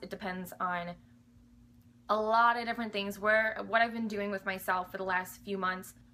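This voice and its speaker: This woman speaks loudly at a fairly high pitch. Her tone is bright and sharp. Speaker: fitness vlogger, bikini competitor. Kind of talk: casual Q&A vlog. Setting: home alone. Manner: animated.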